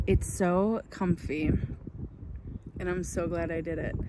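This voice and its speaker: A woman is speaking. Loud background noise runs throughout. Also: dry sound with no echo. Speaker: full-time traveller vlogger. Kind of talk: casual vlog chat. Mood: relaxed and content. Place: open country. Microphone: phone near.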